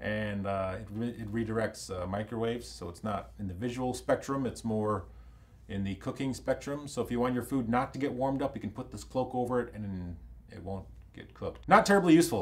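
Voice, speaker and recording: A man speaks in an ordinary speaking voice at a medium pitch with ordinary pitch variation. His loudness swings widely. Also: fairly quick pace. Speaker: comedian. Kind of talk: comedic news commentary to camera. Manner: casual, joking.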